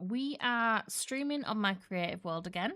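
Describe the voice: At a medium pitch and a fairly slow pace, a woman speaks with lively intonation in a bright, sharp, clear, smooth tone.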